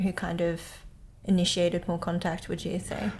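A woman at a medium pitch sounds somewhat breathy, with monotone, flat intonation. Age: 30s. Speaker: podcast host. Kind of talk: interview. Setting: guest's living room.

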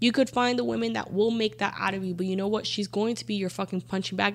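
A woman speaks in an ordinary speaking voice. Her pitch is medium and her intonation is lively. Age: 30s. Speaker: podcast guest. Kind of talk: casual chat.

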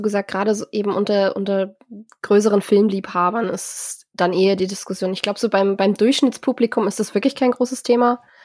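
A woman speaks at a very fast pace in a medium pitch, her intonation fairly even. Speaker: podcast host. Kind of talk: casual chat. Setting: video call. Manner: nervous when hosting.

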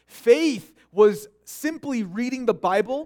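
Lively intonation marks this man's speech in an American accent. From Korean American community, US. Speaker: pastor. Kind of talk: sermon. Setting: church. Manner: halting, frequent repetitions.

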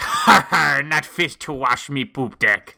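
Putting on a character voice, a man speaks at a fairly slow pace and fairly high pitch in a very clean recording, silent background. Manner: mocking, taunting.

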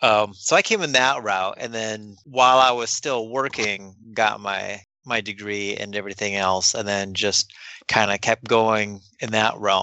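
A man with an American accent and an ordinary speaking voice talks at a fairly slow pace in a fairly low pitch with fairly even intonation. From US Midwest. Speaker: librarian. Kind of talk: casual interview.

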